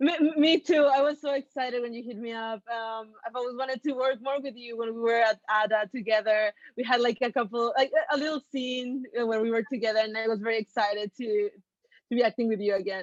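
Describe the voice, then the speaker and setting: A woman's fairly high voice with a Mexican accent, at a fairly quick pace, in a dry, close sound with no echo. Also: ordinary pitch variation. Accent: Mexican Spanish accent, noticeable. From Mexico City, Mexico. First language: Spanish. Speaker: actress. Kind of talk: interview.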